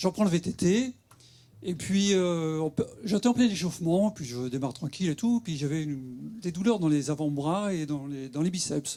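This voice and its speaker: A man with a fairly high pitch and a dark, mellow tone speaks at a moderate pace with lively intonation. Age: 60s. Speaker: patient giving testimony. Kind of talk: testimony at a conference. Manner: casual, hesitant.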